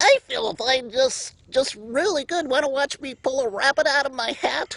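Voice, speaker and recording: A put-on character voice with a high pitch. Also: moderate pace. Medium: solo performance.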